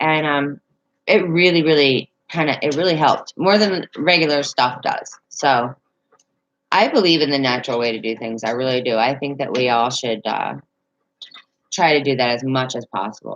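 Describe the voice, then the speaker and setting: This woman's voice sits very deep and low, with ordinary pitch variation. She speaks with a Southern accent. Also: moderate pace. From Northern Virginia, near West Virginia line. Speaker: livestreamer. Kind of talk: casual chat. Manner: halting, many fillers.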